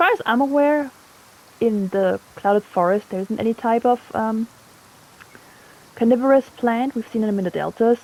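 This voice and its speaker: Pausing long and often, a woman with a German accent speaks with ordinary pitch variation, the sound dry and close with no echo amid noticeable background noise. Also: fairly high pitch for a woman, moderate pace. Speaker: gaming video creator, biology commentator. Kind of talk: gameplay commentary, educational. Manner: casual, with fillers and hesitations.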